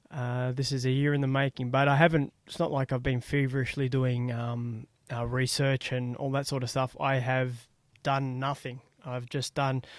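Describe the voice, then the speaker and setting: A man speaks at a medium pitch with an Australian accent and a moderate pace. The recording is very clean, with a silent background. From Australia (Melbourne). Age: 40s. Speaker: podcast host. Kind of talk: casual solo podcast monologue. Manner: hesitant, many fillers.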